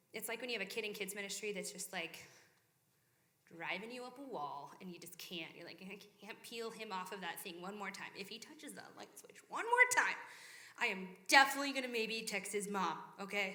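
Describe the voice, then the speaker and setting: Delivery is animated and fairly quick, with ordinary pitch variation and big swings in loudness. Room echo is audible. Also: woman, medium pitch for a woman. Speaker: church young adults speaker. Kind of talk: sermon-style talk to young adults group.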